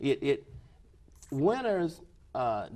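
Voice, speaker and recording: A man with an American accent and a dark, mellow tone talks at a very slow pace with lively intonation. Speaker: former athlete, desegregation pioneer. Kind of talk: interview answer.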